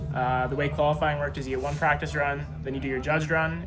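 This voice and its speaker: Amid noticeable background noise and audible room echo, a man with a fairly high pitch talks at a very fast pace. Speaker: drift driver, motorsport vlogger. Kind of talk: casual vlog talk to camera. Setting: at a race track.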